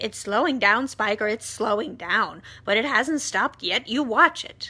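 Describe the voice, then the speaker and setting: A woman uses a put-on character voice, fairly high in pitch, at a moderate pace. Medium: read story. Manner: excited, gushing.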